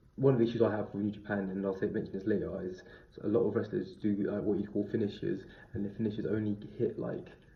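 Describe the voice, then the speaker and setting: Speaking at a very fast pace, a man keeps his intonation fairly even. His fairly low voice is somewhat breathy. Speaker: wrestling reviewer. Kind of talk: review monologue.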